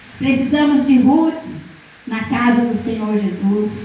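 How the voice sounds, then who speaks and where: The speech moves at a fairly slow pace. Noticeable background noise and audible room echo come through. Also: woman. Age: 60s. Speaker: preacher. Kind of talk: sermon. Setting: church.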